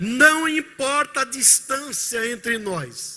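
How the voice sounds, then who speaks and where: A man raises and projects his voice. The tone is bright and sharp. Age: 70s. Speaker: pastor. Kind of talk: sermon. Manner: animated.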